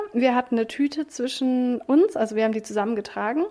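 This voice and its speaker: Her voice sits high. This woman varies her pitch in an ordinary way. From Berlin, Germany. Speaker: podcast co-host and self-employed coach. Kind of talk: casual chat.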